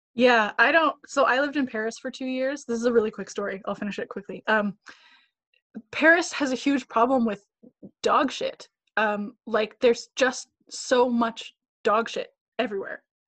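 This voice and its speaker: The speaker, with a Canadian accent, talks at a moderate pace with long, frequent pauses. The sound is dry and close, with no echo. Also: woman, high pitch for a woman, ordinary pitch variation. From Canada. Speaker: actor. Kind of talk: casual chat. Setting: video call.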